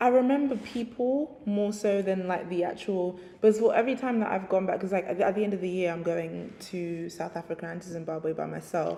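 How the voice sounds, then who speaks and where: A woman with a London accent talks at a fairly quick pace and medium pitch, with hardly any pauses and ordinary pitch variation, over noticeable background noise. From England (London). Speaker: writer and DJ. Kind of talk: interview. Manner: casual, hesitant with fillers.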